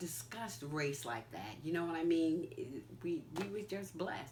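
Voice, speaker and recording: A woman with an American accent has a very deep, low pitch. Audible room echo surrounds her voice. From New York. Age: 60s. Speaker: interviewee, mother and grandmother. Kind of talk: interview.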